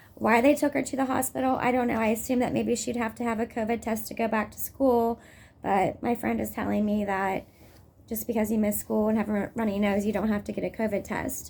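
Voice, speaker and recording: A woman's voice with vocal fry at a fairly quick pace. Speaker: mother in custody dispute vlogging. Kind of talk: personal vlog update. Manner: agitated, hesitant with fillers.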